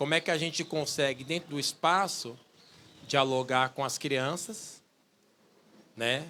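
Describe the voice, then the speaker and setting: The tone is bright and sharp, the pace fairly slow, and the recording very clean with a silent background. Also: man. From São Paulo, east zone. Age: 40s. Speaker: musician and researcher. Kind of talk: public talk, conversational. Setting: outdoor bandstand with audience.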